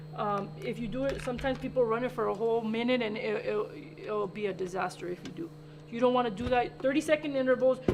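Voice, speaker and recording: A woman with lively intonation and a fairly high pitch talks at a very fast pace amid noticeable background noise. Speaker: baking show host. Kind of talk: cooking demonstration. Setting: studio, live stream.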